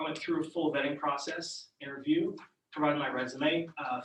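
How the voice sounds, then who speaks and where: Room echo is audible as a man with a fairly high voice speaks with ordinary pitch variation. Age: 40s. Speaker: council seat candidate. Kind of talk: public meeting self-introduction. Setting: borough council meeting room at podium. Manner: halting, many fillers.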